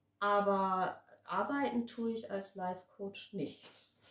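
A woman speaks in a somewhat breathy voice. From Germany, Wiesbaden (Hesse) then Addis Ababa. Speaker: actress and life coach. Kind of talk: casual chat.

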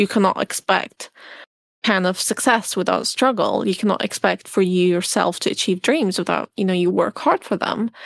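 The voice carries an Arabic accent and vocal fry. Loudness is very even, and the sound is dry and close with no echo. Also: woman, medium pitch for a woman, ordinary pitch variation, moderate pace, very clean recording, silent background. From Syria (Damascus). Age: 20s. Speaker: pilot and refugee advocate. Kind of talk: interview.

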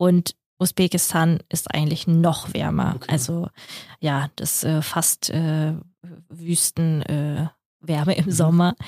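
In a Russian accent, a woman with a fairly low pitch speaks at a very slow pace. The sound is dry and close, with no echo. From Kazakhstan, then Germany from age 9. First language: Russian (speaking German). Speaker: podcast co-host. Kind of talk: casual chat.

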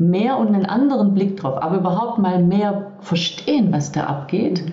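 Talking fairly quickly with lively intonation, a woman of medium pitch is heard amid noticeable background noise and audible room echo. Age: 50s. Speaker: leadership and body-awareness coach. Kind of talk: interview, casual chat.

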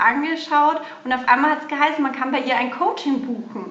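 A woman with a slight Bavarian accent speaks with ordinary pitch variation, with audible room echo and noticeable background noise. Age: 40s. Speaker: hairdresser turned mothers' coach. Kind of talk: interview.

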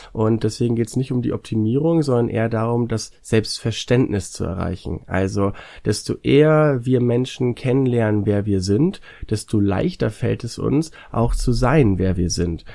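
On a very clean recording with a silent background, a man with a dark, mellow tone speaks at medium pitch and a moderate pace, with ordinary pitch variation. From northern Germany, North Sea coast. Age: 20s. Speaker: YouTuber. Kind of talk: casual interview.

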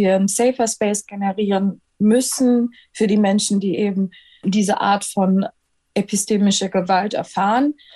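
Against a quiet background, a woman talks at a moderate pace with a medium pitch and fairly even intonation. Her tone is dark and mellow, and somewhat breathy. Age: 20s. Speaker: medical student and anti-racism activist. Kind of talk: interview.

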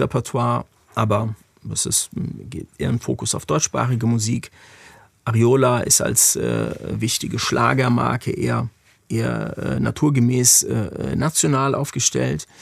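With long, frequent pauses, a man talks at a moderate pace in a dry, close sound with no echo. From Germany, Frankfurt. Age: 40s. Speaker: music industry executive. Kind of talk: interview conversation.

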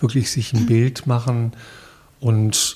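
With a medium pitch, a man speaks at a very slow pace. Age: 60s. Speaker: podcast interviewer, long-time hospice volunteer. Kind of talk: interview.

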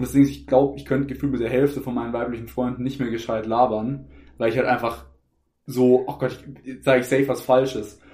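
A man's dark, mellow voice at a medium pitch, very fast, monotone and flat, with vocal fry. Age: 20s. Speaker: podcast co-host. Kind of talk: casual chat.

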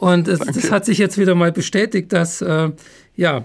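A man speaks fairly slowly in a high voice with fairly even intonation. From Upper Bavaria. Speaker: podcast host, brand consultant. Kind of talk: interview.

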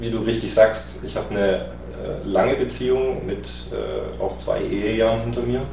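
Noticeable background noise runs under the voice. The room adds an audible echo. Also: man, moderate pace. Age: 30s. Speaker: podcast guest sharing dating experiences. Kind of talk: personal testimony in an interview.

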